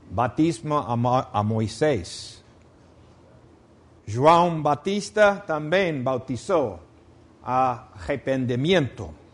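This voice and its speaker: Spoken at a very slow pace in a non-native accent, the voice makes very wide pitch swings. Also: man. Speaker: preacher. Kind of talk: sermon.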